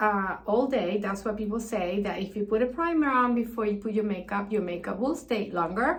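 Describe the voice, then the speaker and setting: A woman speaks in a fairly high, somewhat breathy voice with ordinary pitch variation. Audible room echo surrounds her. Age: 60s. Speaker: beauty vlogger. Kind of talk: tutorial. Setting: bathroom.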